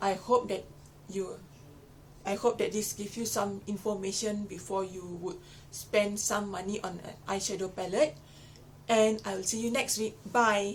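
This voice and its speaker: With long, frequent pauses, a woman speaks at a moderate pace and medium pitch. Her intonation is fairly even, and there is noticeable background noise. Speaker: beauty vlogger. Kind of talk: product review. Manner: casual, chatty.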